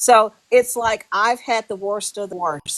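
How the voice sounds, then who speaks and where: Her voice is an unremarkable speaking voice, a woman's fairly high pitch at a moderate pace with ordinary pitch variation, captured dry and close with no echo. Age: 60s. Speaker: livestream participant. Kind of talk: heated livestream chat.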